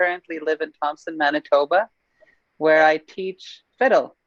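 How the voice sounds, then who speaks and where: A woman with an ordinary speaking voice talks at a moderate pace and fairly low pitch, the sound dry and close with no echo. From northern Saskatchewan, Canada. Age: 20s. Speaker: fiddle teacher. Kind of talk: panel introduction.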